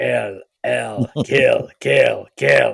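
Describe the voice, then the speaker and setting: A man's robotic, put-on character voice. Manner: creepy, menacing.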